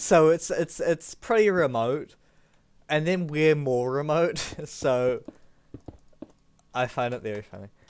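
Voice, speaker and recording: This man speaks in a New Zealand accent at a fairly high pitch, with lively intonation, big swings in loudness, and long, frequent pauses. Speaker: gaming streamer. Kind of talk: casual chat. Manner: halting, many fillers.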